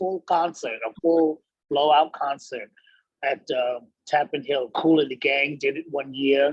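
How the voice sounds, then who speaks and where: A man with an American accent, a normal speaking voice, a fairly high pitch and fairly even intonation. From New York City. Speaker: professional singer. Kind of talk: interview answer. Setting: video call. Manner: casual, conversational.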